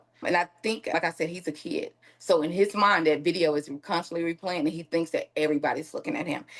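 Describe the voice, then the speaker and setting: Very fast, with hardly any pauses, a woman speaks at a fairly low pitch and fairly even intonation. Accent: Southern US. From Mississippi. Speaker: victim's aunt. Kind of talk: interview.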